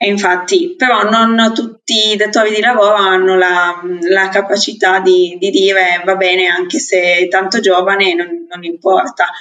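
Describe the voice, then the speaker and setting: At a moderate pace, an unremarkable speaking voice holds fairly even intonation. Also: woman, medium pitch for a woman. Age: 20s. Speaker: podcast co-host. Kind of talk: casual chat.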